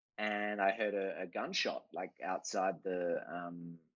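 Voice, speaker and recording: An Australian accent shapes this man's speech. His voice sits fairly low. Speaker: artist. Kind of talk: casual chat.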